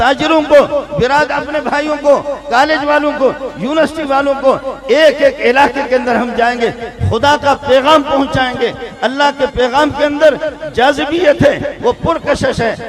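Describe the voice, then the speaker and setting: With crowd noise in the background, the speaker uses a passionate tone and fairly even intonation. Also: man. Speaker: Islamic scholar and madrasa teacher. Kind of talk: public religious speech at a conference rally. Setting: large crowd, stage with PA system. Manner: passionate, exhortative, oratorical.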